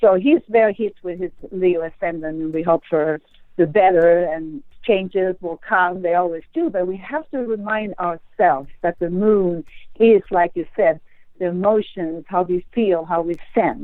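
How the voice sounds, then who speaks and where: A woman with a slight Swedish accent speaks at a fairly slow pace and a medium pitch, with ordinary pitch variation. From Sweden. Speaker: astrologer. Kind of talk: interview conversation.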